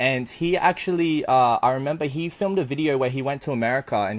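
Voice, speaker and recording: A man with an Australian accent, medium pitch, very fast pace and lively intonation. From Australia, Brisbane. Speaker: eBay reseller. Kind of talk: casual interview chat.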